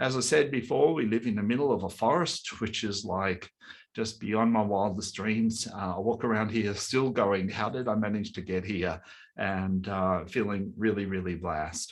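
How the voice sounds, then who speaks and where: Over a quiet background, a man with an Australian accent talks at a fairly low pitch with ordinary pitch variation. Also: moderate pace. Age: 60s. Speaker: breathwork coach and workshop leader. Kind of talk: online workshop presentation. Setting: webinar.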